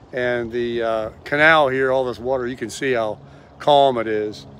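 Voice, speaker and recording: With light background noise, a man's voice comes through as dry sound with no echo. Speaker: vlogger. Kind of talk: casual vlog chat. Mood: relaxed, cheerful. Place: boat. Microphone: phone near.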